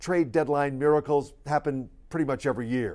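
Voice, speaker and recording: At a moderate pace, a man with a fairly high pitch sounds animated in a very clean recording with a silent background. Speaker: radio sports host. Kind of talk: sports radio rant, scripted-sounding commentary. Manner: animated, emphatic, sarcastic.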